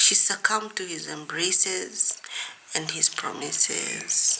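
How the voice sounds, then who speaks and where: Whispered speech comes through with noticeable background noise. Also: woman. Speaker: author. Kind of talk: reading aloud.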